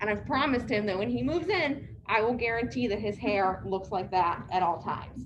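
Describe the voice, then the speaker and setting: Soft-spoken and lively in intonation, a woman talks at a fairly quick pace and medium pitch, with vocal fry, very even loudness and hardly any pauses. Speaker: care community staff trainer. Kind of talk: staff training talk. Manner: soft-spoken, hard to hear.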